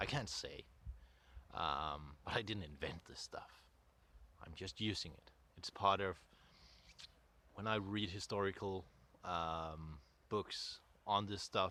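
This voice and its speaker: A man with a Danish accent speaks very slowly at a very deep, low pitch in a bright, sharp tone, with ordinary pitch variation, big swings in loudness, and long, frequent pauses. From Denmark, North Jutland. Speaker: content creator, folklore researcher. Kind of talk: casual vlog monologue. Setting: outdoors. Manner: halting.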